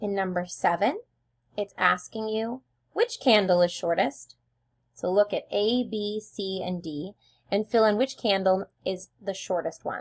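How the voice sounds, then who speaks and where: A woman's normal speaking voice at medium pitch, fairly slow, with ordinary pitch variation, on a very clean recording with a silent background. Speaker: elementary school teacher. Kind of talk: tutorial.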